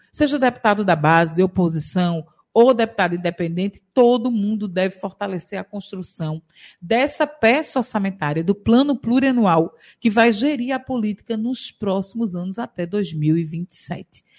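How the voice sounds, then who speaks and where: A woman speaks at a moderate pace with a medium pitch and lively intonation, her voice somewhat breathy. The sound is dry and close with no echo, on a very clean recording with a silent background. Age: 40s. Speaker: state legislator. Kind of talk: radio interview. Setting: radio studio.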